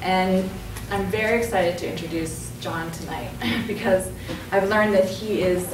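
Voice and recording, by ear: With few pauses, a woman at a medium pitch speaks fairly slowly and with fairly even intonation, while room echo and clear background noise can be heard.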